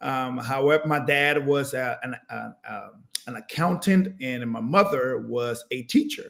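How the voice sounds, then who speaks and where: At a fairly slow pace, a man speaks with lively intonation and a fairly high pitch. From Panama (Panama City), moved to Los Angeles at 13. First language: Spanish. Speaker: former pro basketball player, motivational speaker. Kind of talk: interview.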